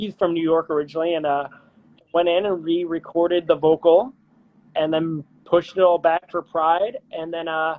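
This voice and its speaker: The pitch of this man's voice sits high. He keeps to a moderate speed. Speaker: musician and pianist. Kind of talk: casual interview chat. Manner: animated.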